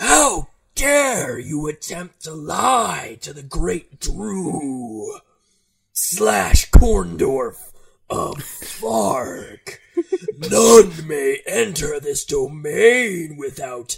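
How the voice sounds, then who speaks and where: A man puts on a character voice, pitched fairly high. He speaks at a very slow pace. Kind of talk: comic overacting. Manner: menacing, theatrical.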